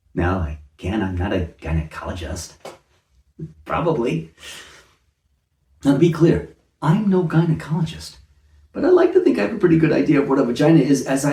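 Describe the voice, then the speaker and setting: A man's dark, mellow tone with vocal fry, a fairly quick pace and long, frequent pauses. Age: 60s. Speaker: comedic commentator. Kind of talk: satirical monologue.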